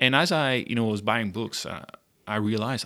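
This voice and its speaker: Fairly low in pitch, a man speaks at a fairly quick pace in a bright, sharp tone. The recording is very clean, with a silent background. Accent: French. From southern France (Monaco area). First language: French. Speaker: entrepreneur, food startup founder. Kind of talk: casual interview.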